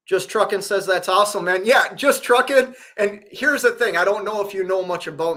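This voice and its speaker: In a Minnesota accent, a man uses a raised, projected voice with a bright, sharp tone and lively intonation. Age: 40s. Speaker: truck driver and livestreamer. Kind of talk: casual live stream chat. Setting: hotel room.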